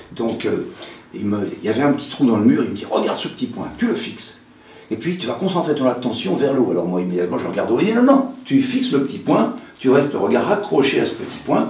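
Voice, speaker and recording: A man talks at a very fast pace. The recording carries audible room echo and noticeable background noise. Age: 70s. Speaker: hypnotherapist. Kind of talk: conference talk. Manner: casual, conversational.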